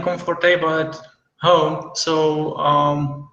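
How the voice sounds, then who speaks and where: A fairly high-pitched man with fairly even intonation, in audible room echo. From Czech Republic. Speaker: entrepreneur, visa holder. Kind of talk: interview. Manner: hesitant, many fillers.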